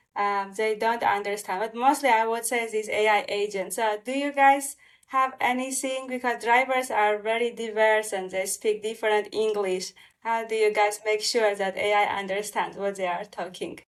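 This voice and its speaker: With a non-native accent, a woman speaks at a moderate pace with hardly any pauses, her fairly high pitch held in fairly even intonation. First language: not English. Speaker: podcast host. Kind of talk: interview.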